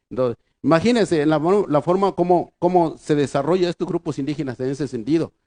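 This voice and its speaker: A man with an Oaxacan accent, fairly high-pitched, at a fairly quick pace. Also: dry, close sound with no echo. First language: Triqui (speaking Spanish). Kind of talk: conference lecture. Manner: halting.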